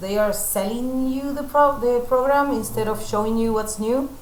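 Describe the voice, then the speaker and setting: A woman speaks with audible room echo and light background noise. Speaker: photo retoucher and teacher; teacher. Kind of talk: live tutorial stream.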